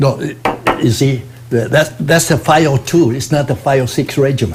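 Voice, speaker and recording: A man speaks at a moderate pace with ordinary pitch variation. Noticeable background noise sits behind him. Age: 80s+. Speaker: war veteran. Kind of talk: interview answer.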